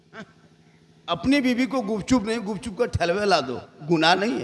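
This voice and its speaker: A man's voice with lively intonation. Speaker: Islamic preacher. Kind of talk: humorous religious sermon at a night gathering.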